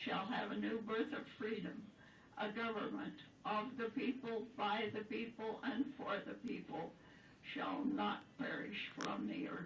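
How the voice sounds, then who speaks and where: A woman speaks with a fairly high pitch and ordinary pitch variation. Noticeable background noise can be heard. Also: fairly slow pace. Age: 80s+. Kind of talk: poetry reading.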